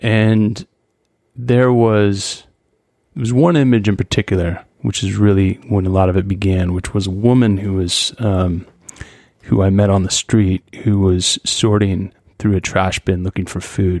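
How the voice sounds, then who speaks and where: An unremarkable speaking voice from a man with an American accent, fairly low in pitch, fairly slow, with fairly even intonation and a dry, close sound with no echo. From US Pacific Northwest, Skagit Valley, Washington. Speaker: photographer. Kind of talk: interview.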